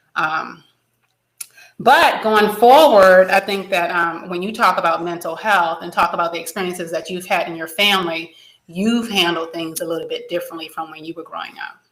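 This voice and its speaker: Fairly low in pitch, this woman has a normal speaking voice, talks at a moderate pace with ordinary pitch variation, and swings widely in loudness. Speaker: psychologist, podcast host. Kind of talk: interview.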